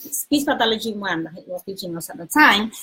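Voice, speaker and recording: The voice has a Spanish accent. Its pitch swings very widely. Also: woman. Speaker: retired speech therapist. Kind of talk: interview.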